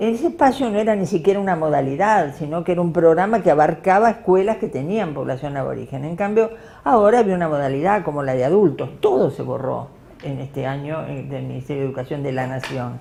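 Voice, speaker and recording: A woman speaks at a very fast pace. Her pitch is very deep and low, and her intonation is lively. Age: 70s. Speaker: educator and former union activist. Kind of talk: talk to an audience. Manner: halting, many fillers.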